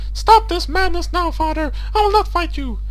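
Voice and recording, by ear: A put-on character voice over noticeable background noise. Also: moderate pace.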